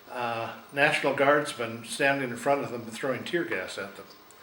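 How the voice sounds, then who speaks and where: Over noticeable background noise and audible room echo, a man talks at a fairly slow pace with a medium pitch. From Oregon, US. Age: 60s. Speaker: interviewee recalling history. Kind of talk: oral history interview. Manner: halting, many fillers.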